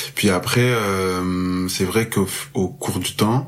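Very deep and low, a man's voice moves at a fairly slow pace with ordinary pitch variation. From France, Marseille. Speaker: music festival worker. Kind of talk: casual interview chat.

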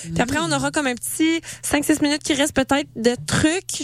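Woman speaking at a moderate pace over noticeable background noise. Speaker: radio host. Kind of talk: casual chat. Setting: studio. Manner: animated.

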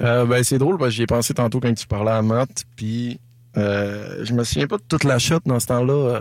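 A man with an ordinary speaking voice talks fairly slowly at a medium pitch, with ordinary pitch variation and very even loudness. The recording is very clean, with a silent background. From Quebec, Saint-Prime (Lac-Saint-Jean). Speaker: singer-songwriter. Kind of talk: casual interview.

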